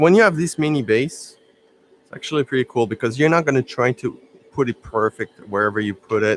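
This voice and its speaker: The speaker has a French accent and a moderate pace. Pitch varies in an ordinary way. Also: man. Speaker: miniature painting streamer. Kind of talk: live stream tutorial. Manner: casual, halting with fillers.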